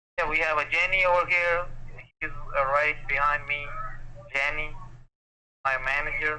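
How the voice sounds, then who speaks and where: The speech moves at a moderate pace in a monotone, flat intonation, broken by long, frequent pauses. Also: man, fairly high pitch for a man. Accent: South Asian. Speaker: phone scammer. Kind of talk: phone sales pitch.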